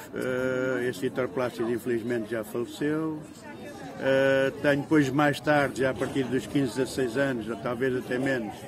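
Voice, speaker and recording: Audible room echo and noticeable background noise, with fairly even intonation at a moderate pace. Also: man, medium pitch for a man. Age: 60s. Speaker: local resident interviewee. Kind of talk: interview reminiscence. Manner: halting, many fillers.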